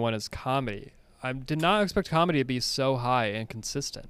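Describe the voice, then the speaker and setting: In a very clean recording with a silent background, a man with an American accent speaks at a fairly quick pace and medium pitch in a plain, everyday voice with lively intonation. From Connecticut. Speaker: movie podcast co-host. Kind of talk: casual chat.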